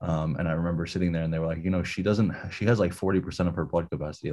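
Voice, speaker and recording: Talking at a very fast pace, a man has a dark, mellow tone. The background is quiet. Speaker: life coach and entrepreneur. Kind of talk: casual chat.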